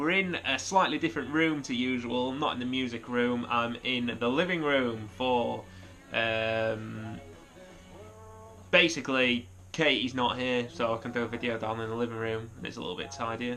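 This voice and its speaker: Music plays in the background as a man speaks at a medium pitch. His pace is moderate and his pitch varies in an ordinary way. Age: 30s. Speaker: guitarist. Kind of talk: casual vlog talk to camera. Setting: living room at home. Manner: hesitant, lots of fillers.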